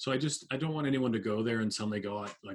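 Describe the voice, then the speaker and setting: A plain, everyday voice carries speech whose pitch rises and falls in an ordinary way. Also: man. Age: 40s. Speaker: public speaker and author on mental health. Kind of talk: interview conversation.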